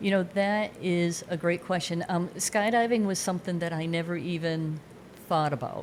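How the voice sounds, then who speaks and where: A woman with a plain, everyday voice, fairly low in pitch, at a moderate pace with fairly even intonation. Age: 60s. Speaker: skydiver. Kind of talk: casual chat. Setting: studio.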